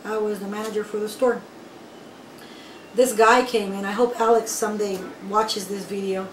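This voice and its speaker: A woman's fairly high voice in monotone, flat intonation, at a moderate pace with long, frequent pauses, audible room echo and noticeable background noise. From raised in the US from age 6, born in Nicaragua. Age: 30s. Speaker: undocumented immigrant. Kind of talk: personal testimony interview.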